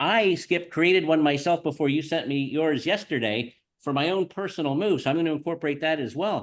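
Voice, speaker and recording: A man talks at a fairly quick pace. The background is quiet. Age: 60s. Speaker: real estate agent and podcast host. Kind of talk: podcast conversation.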